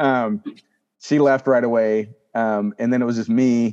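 Monotone and flat, a man with an American accent speaks at medium pitch in a dry, close sound with no echo. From Fresno, California. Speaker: union staff member and former teacher. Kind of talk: casual interview.

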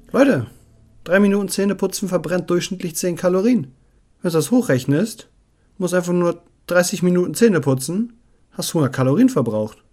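Against a silent background in a very clean recording, a man with a high pitch and dark, mellow tone speaks at a moderate pace with lively intonation and long, frequent pauses. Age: 20s. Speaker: podcast host. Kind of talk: casual solo monologue. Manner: animated. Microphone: new batteries and battery pack for the mic.

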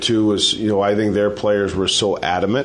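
Over noticeable background noise, a man talks with a medium pitch. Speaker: hockey head coach. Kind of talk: post-game press interview. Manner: measured, conversational, filler-heavy.

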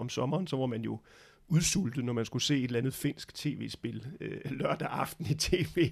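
A man speaks at a medium pitch and a moderate pace, with vocal fry. The recording is very clean, with a silent background. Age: 50s. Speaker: film critic and journalist. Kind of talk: casual chat.

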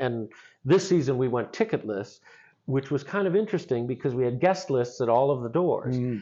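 A man talks in a normal speaking voice at a fairly quick pace. His intonation is lively. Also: medium pitch for a man. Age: 40s. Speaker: theater manager. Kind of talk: interview.

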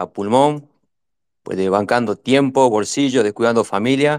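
Here a man has an ordinary speaking voice. It sits at a medium pitch with ordinary pitch variation. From Neuquén, Argentina. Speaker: party activist. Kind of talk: casual chat.

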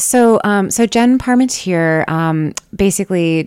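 This woman has a normal speaking voice at medium pitch. Her intonation is lively. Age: 30s. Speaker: podcast host and Reiki practitioner. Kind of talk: casual interview chat.

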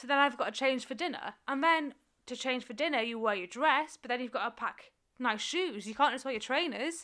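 Speaking fairly quickly in a raised, projected voice, a woman with a high pitch and a bright, sharp tone shows ordinary pitch variation and big swings in loudness. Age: 20s. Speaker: podcast co-host. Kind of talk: casual chat. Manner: laughs often.

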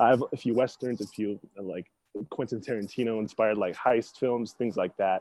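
There is an ordinary speaking voice at a moderate pace. The sound is dry and close, with no echo. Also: man. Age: 20s. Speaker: screenwriter. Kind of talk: interview.

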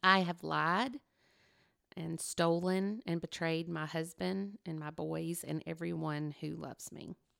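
A woman speaks at a fairly slow pace. The recording is very clean with a silent background and a dry, close sound with no echo. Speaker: marriage podcast co-host and worship leader. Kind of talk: casual chat with reading aloud from her journal.

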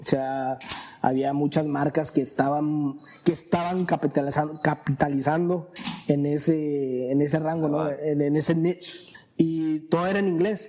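Fairly high male voice with fairly even intonation, over noticeable background noise. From Mexican-born, raised in the US from age 4. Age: 30s. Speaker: musician and entrepreneur. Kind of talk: casual chat over drinks.

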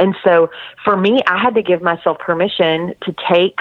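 A woman's ordinary speaking voice, medium in pitch, at a moderate pace with ordinary pitch variation. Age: 40s. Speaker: author and teacher. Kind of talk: interview.

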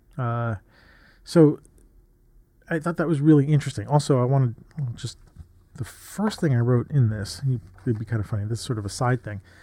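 A man's somewhat breathy voice has a dark, mellow tone, a medium pitch and ordinary pitch variation. Long, frequent pauses break his speech in a very clean recording with a silent background. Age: 50s. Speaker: photography podcast host. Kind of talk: casual solo podcast monologue. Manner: halting, many fillers.

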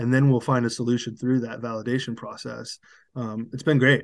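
Medium-pitched male speech in a Midwestern American accent, fairly quick, over a quiet background. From US Midwest, Cedar Rapids, Iowa. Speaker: sales manager. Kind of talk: interview. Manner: halting, many fillers and restarts.

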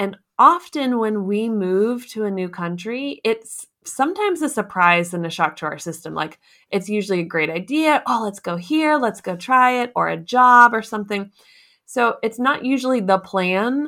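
A woman with an American accent and an ordinary speaking voice, medium in pitch, at a moderate pace with lively intonation, on a very clean recording with a silent background. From United States. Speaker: grief counselor and author. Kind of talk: interview conversation.

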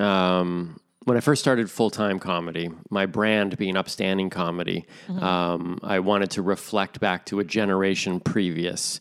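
At a moderate pace, a man talks in an ordinary speaking voice with a fairly low pitch. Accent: Canadian. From Canada, Toronto. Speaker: stand-up comedian. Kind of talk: casual interview chat.

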